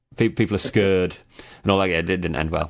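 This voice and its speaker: A man with an English accent and a fairly low-pitched voice. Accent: generic English. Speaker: radio host. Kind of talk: radio interview.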